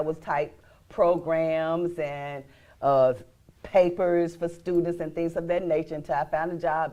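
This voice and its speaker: A woman speaks at a fairly low pitch with a dark, mellow tone. Her intonation stays fairly even. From Arkansas, small town near Forrest City. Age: 60s. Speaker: inventor and small business owner. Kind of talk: talk show interview.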